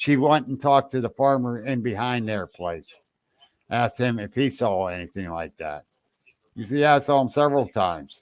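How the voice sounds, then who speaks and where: A man talks at a medium pitch and a moderate pace with lively intonation. His is an unremarkable speaking voice. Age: 60s. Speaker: podcast host and Bigfoot investigator. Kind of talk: casual chat. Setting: live podcast.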